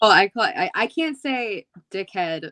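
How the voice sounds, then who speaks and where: A woman with an American accent speaks at a medium pitch. The sound is dry and close, with no echo. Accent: Philly accent, mostly hidden. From Philadelphia. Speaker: rapper and professional wrestler. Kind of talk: casual chat.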